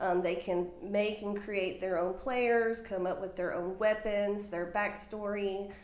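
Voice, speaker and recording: A woman with a Southern US accent speaks at a fairly slow pace with hardly any pauses and monotone, flat intonation, heard through noticeable background noise and audible room echo. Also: medium pitch for a woman. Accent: Southern US (Georgia). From Georgia, US South. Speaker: funeral home office manager. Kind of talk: interview. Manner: hesitant, many fillers.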